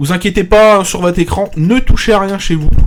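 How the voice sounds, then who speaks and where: Ordinary pitch variation in a man's high voice. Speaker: streamer / arcade show host. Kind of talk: live stream commentary while playing. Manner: loud, projecting voice; casual, with hesitations. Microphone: pop filter too far from mic.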